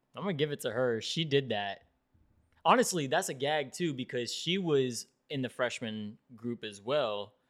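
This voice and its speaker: A man talks in an unremarkable speaking voice with an American accent. His intonation is lively and his pace moderate. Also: very clean recording, silent background. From South Florida. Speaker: podcast host. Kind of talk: casual chat.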